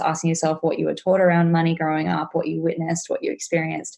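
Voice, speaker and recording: A woman with an Australian accent, a fairly low pitch, and a very fast pace. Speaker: money mindset coach. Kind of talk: podcast interview.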